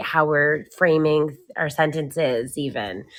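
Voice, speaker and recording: A woman speaks loudly with a very deep, low pitch and fairly even intonation. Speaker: spiritual podcast co-host. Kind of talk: casual chat.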